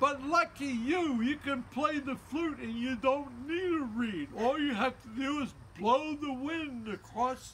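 Light background noise sits behind a man speaking at a very slow pace. His tone is bright and sharp, with ordinary pitch variation. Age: 80s+. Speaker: flute player. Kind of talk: educational talk to young children. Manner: upbeat. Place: garden. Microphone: phone near.

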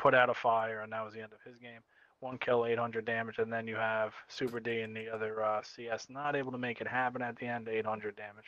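A man's bright, sharp voice at medium pitch with an East Coast US accent, monotone and flat in intonation, fairly quick in pace and with big swings in loudness. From US East Coast. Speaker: esports caster, co-commentator. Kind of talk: live commentary.

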